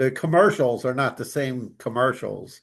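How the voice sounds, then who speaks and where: A plain, everyday voice at a fairly slow pace against a quiet background. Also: man. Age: 60s. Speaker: business podcast host. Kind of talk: podcast interview.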